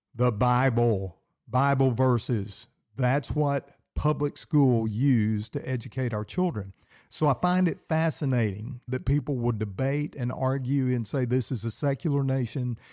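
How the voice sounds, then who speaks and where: A man speaks at a fairly slow pace and medium pitch in a dark, mellow tone. The recording is very clean, with a silent background. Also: ordinary pitch variation. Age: 60s. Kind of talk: solo podcast talk. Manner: animated.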